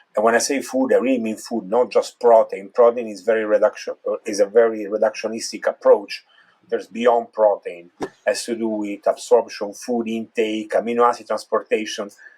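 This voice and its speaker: A man with an Italian accent talks at a fairly quick pace. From Italy. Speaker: neurologist. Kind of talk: interview.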